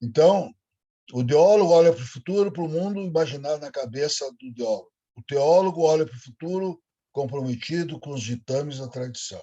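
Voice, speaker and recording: A man's somewhat breathy voice with a dark, mellow tone, a fairly quick pace, ordinary pitch variation and big swings in loudness. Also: fairly high pitch for a man. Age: 70s. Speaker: professor. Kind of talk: lecture.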